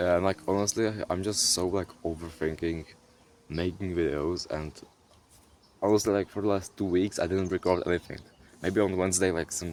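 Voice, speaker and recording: With a non-native accent, a man speaks at a very deep, low pitch and with fairly even intonation. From Europe. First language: not English. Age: young. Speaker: content creator. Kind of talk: casual vlog monologue. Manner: halting, with repetitions.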